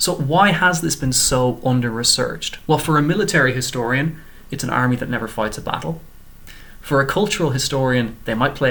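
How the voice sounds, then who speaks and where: A man with an Irish accent talks at a fairly quick pace. His medium-pitched voice has a bright, sharp tone. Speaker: PhD student. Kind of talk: short research presentation. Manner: scripted, clear.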